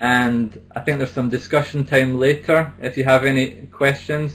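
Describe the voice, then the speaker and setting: A man talks at a moderate pace in a medium pitch, his intonation flat and monotone. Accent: Scottish. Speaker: business English trainer. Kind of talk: conference presentation. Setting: online symposium.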